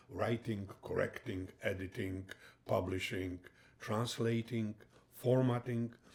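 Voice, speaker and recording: Over noticeable background noise, a man with a Polish accent speaks at a fairly slow pace. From Poland. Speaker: retired heart surgeon and author. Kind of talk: interview. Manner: halting.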